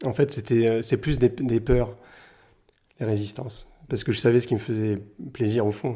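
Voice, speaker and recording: A man speaks at a fairly slow pace with long, frequent pauses in a medium-pitched, somewhat breathy voice of dark, mellow tone and fairly even intonation, on a very clean recording with a silent background. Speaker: painter. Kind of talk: interview. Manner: halting.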